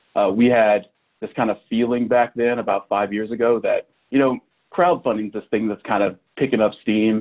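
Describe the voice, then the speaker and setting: In a Midwestern American accent, a man talks at a moderate pace and a medium pitch. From Kansas (Manhattan). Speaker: university fundraising director. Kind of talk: interview. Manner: animated.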